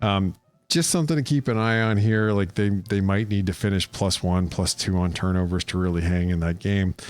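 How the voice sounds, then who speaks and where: A man's fairly low voice at a fairly quick pace, very even in loudness, with music in the background. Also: ordinary pitch variation. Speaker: college football analyst. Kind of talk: solo preview analysis. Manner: fast; casual with many fillers.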